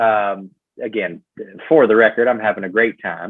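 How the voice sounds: Using fairly even intonation, a man with a Southern US accent speaks at a fairly low pitch. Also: moderate pace.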